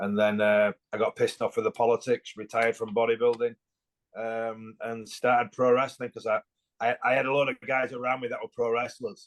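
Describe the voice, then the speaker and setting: The speaker has an English accent and moves at a fairly quick pace with monotone, flat intonation. The sound is dry and close, with no echo. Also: man, medium pitch for a man. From England. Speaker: former bodybuilder and pro wrestler. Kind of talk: podcast interview.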